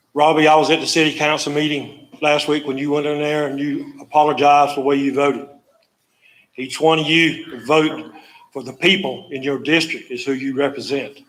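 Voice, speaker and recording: Speaking at a moderate pace in a north Florida accent, a man uses a fairly high pitch with monotone, flat intonation. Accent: Southern US (north Florida). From US South. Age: 70s. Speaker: public commenter. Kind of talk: public comment at a county meeting. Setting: county commission meeting.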